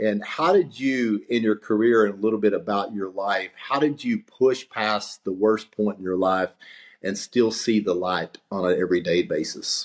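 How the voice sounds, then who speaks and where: On a very clean recording with a silent background, a man with a Texas accent speaks at a moderate pace and fairly low pitch, with ordinary pitch variation. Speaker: podcast host. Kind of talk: podcast interview.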